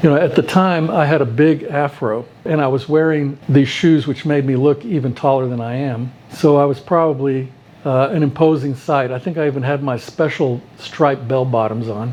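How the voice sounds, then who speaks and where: With noticeable background noise behind him, a man speaks at a moderate pace in an American accent, his fairly high pitch showing ordinary pitch variation. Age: 70s. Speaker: retired pediatrician. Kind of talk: personal storytelling interview.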